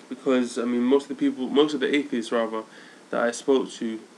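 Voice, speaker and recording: A man with a London accent talks at a medium pitch in a monotone, flat intonation. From London, England. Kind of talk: casual vlog monologue. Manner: halting, many fillers.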